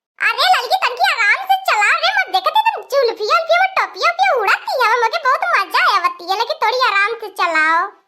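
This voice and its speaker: Using a cartoonish character voice, a woman speaks at an extremely high pitch with lively intonation and very even loudness. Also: moderate pace. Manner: rustic, bossy.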